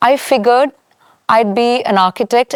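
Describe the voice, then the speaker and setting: A woman with a Keralan accent at a moderate pace with ordinary pitch variation, in a very clean recording with a silent background and a dry, close sound with no echo. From India, Chennai (Tamil Nadu). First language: Malayalam. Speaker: architect. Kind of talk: interview.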